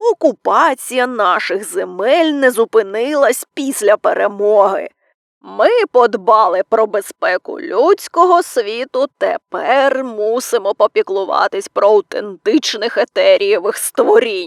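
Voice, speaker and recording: In a put-on character voice, a woman speaks fairly slowly at a fairly high pitch with lively intonation. Her voice is raspy and creaky, with a dry, close sound and no echo. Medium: read story. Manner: harsh, rude, nonstop lecturing.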